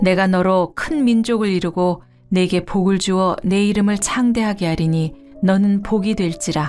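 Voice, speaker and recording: A woman of medium pitch talks at a fairly slow pace with very even loudness and ordinary pitch variation. Music plays in the background. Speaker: announcer. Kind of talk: scripture reading.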